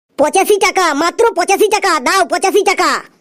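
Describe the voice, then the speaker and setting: In a cartoonish character voice with an extremely high pitch, the speaker goes sing-song at a moderate pace. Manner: repetitive sing-song hawker's patter.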